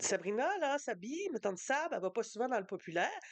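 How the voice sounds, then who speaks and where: Woman's animated tone in a Quebec accent at a fairly quick pace. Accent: Québécois French. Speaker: book youtuber. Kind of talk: casual book review vlog. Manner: fast.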